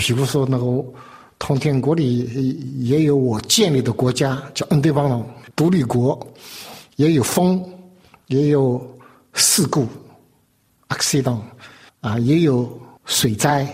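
The speech moves at a very slow pace with long, frequent pauses, very even loudness and ordinary pitch variation. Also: man, medium pitch for a man. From China. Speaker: artist. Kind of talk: interview. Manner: halting.

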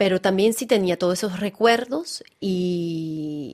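Against a quiet background, a woman of medium pitch talks with lively intonation. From France, French Alps. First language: French (speaking Spanish). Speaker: actress and theatre director. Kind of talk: interview. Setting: studio. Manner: halting, repeats words.

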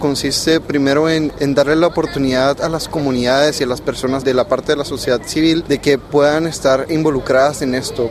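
A man with a fairly high pitch talks at a fairly quick pace in a monotone, flat intonation over noticeable background noise. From Panama. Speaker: youth climate negotiator. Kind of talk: interview. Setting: conference venue.

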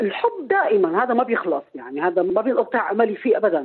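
This woman's voice sits at a fairly high pitch. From Syria. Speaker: poet and writer. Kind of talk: casual interview.

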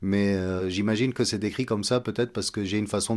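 In a very clean recording with a silent background, a man speaks with a plain, everyday voice and fairly even intonation. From Egypt. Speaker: composer and oud player. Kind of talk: radio interview.

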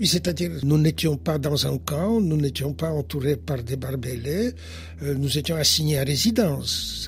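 Amid noticeable background noise, a man speaks at a fairly slow pace in a fairly high pitch with very wide pitch swings. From Poland, Warsaw. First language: Polish (speaking French). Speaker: historian and philosopher. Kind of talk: interview.

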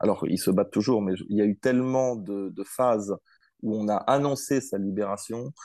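Set against a quiet background, a man speaks fairly quickly with a fairly low pitch. His tone is dark and mellow, and the sound is dry and close with no echo. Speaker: political science researcher. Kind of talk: interview. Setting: remote call. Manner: hesitant, many fillers.

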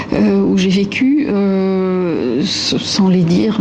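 With noticeable background noise behind her, a woman speaks at a medium pitch with lively intonation. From Lebanon. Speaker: architect. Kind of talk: interview. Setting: studio. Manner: halting.

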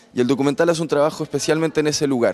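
This man's voice shows ordinary pitch variation. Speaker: documentary film expert. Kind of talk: interview answer. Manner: halting.

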